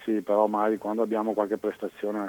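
The man speaks at a fairly low pitch. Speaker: caller. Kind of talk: phone-in opinion.

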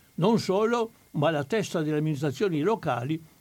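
The voice is a plain, everyday voice, with normal pitch movement. Recorded very cleanly, the background is silent. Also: man. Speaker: historian of the resistance. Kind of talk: historical talk. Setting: studio.

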